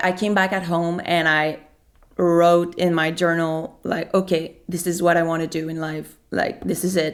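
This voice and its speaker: A woman with a Quebec accent, her pitch fairly low and her pace fairly slow. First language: French. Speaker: singer-songwriter. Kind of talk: interview. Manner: halting.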